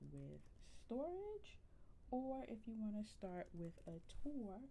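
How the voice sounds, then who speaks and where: A woman speaks at a very slow pace, and room echo is audible. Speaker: gaming streamer. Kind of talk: live game stream chat. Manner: casual, many fillers (um).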